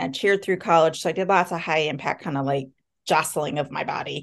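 A woman with a plain, everyday voice speaks at a fairly quick pace with ordinary pitch variation against a quiet background. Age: 50s. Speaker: podcast host. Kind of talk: interview.

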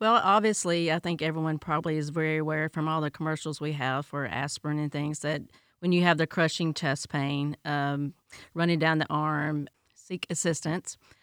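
A woman with a Tennessee accent speaks in a very deep, low pitch with fairly even intonation, in a dry, close sound with no echo and a very clean recording with a silent background. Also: moderate pace. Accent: Tennessee Southern. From Tennessee, US. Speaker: healthcare director. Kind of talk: interview.

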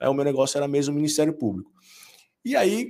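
A man's fairly high pitch with fairly even intonation, an ordinary speaking voice. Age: 40s. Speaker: business lawyer and law professor. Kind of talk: casual interview chat.

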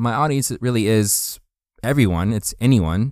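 Heard in a very clean recording with a silent background, a man with a Canadian accent has an unremarkable speaking voice, a moderate pace and ordinary pitch variation. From Canada, New Brunswick. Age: 30s. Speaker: youth pastor. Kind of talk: podcast monologue. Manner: casual, with frequent fillers.

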